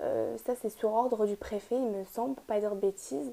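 A woman with a dark, mellow tone speaks at a moderate pace with ordinary pitch variation. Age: 20s. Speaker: law student. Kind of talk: casual chat.

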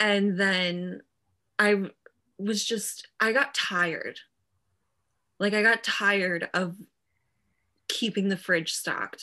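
At a very slow pace with long, frequent pauses, a woman speaks in a bright, sharp tone at a medium pitch, her intonation fairly even. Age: 20s. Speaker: podcast co-host in recovery. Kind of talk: casual chat. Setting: video call.

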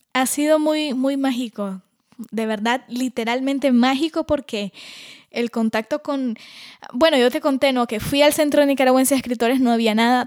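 A woman talks at a moderate pace in a high pitch with fairly even intonation. The sound is dry and close, with no echo. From Nicaragua. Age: 20s. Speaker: singer-songwriter. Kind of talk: interview.

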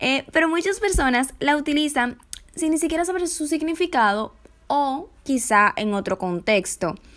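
At a fairly slow pace, a woman talks in a high-pitched voice with very wide pitch swings. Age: 20s. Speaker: podcast host, communication student. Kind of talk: casual solo podcast monologue.

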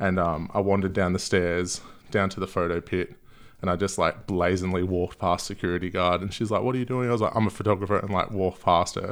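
The speaker has an Australian accent and talks at a very fast pace. The intonation is fairly even. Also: man, very deep, low pitch for a man. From Gold Coast, Queensland, Australia. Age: 30s. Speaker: music photographer. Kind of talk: casual chat. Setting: at home.

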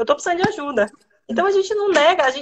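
A woman with a Bahian accent. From Bahia, Brazil. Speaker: lawyer. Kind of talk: live interview.

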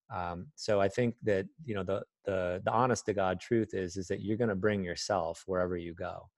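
Over a quiet background, a man with a fairly low pitch and fairly even intonation speaks at a moderate pace with hardly any pauses, the sound dry and close with no echo. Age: 50s. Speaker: life coach. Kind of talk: casual interview. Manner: hesitant, many fillers.

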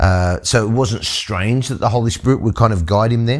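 Speaking in an Australian accent, a man with a fairly low pitch and ordinary pitch variation comes through in a very clean recording with a silent background. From Australia, Sydney working-class suburb. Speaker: pastor. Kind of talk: bible teaching podcast.

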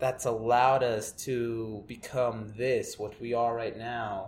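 In a room with audible echo, a man speaks at a very slow pace with fairly even intonation. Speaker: podcaster. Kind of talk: casual monologue. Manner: mumbling.

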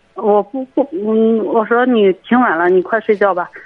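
A woman talks in a normal speaking voice. Her pitch is medium, with ordinary variation. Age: 20s. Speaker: radio call-in caller, print shop worker. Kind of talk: call-in advice conversation.

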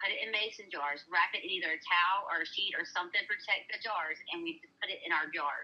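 Speaking at a very fast pace with hardly any pauses, a woman with a Southern US accent uses a medium pitch and ordinary pitch variation. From US South. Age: 30s. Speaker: social media creator. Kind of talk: storytelling.

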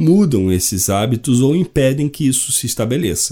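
On a very clean recording with a silent background, a man with a medium pitch and dark, mellow tone speaks with very wide pitch swings. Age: 40s. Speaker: podcast host. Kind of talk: solo podcast monologue.

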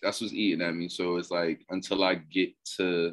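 A man talking at a fairly slow pace. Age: 30s. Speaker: poet. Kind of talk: casual chat.

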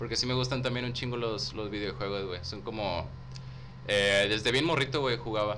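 With vocal fry and very wide pitch swings, a man talks at a moderate pace. Room echo is audible. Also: fairly low pitch for a man. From Tamaulipas, northern Mexico. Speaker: rapper and theatre student. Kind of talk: casual chat.

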